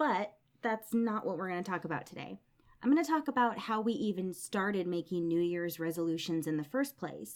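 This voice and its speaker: Very wide pitch swings at a moderate pace. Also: woman. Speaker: podcast co-host. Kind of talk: solo podcast talk. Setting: recording solo.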